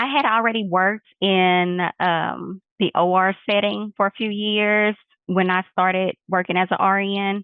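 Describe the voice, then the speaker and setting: At a fairly slow pace, a woman with a Texas accent speaks at a medium pitch with very even loudness and fairly even intonation. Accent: Texas accent, noticeable. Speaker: nurse practitioner, clinic owner. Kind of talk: interview.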